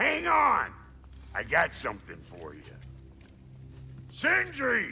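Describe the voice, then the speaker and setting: Over clear background music, a man uses a put-on character voice at a fairly slow pace. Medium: video game. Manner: gruff, sardonic.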